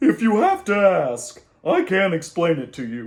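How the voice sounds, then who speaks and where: A man puts on a character voice, pitched high and delivered at a moderate speed. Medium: read story. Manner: smug, matter-of-fact.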